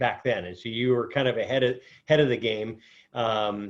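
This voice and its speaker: The speaker is a man with a somewhat breathy voice. He goes at a moderate pace. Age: 50s. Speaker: podcast host. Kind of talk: interview.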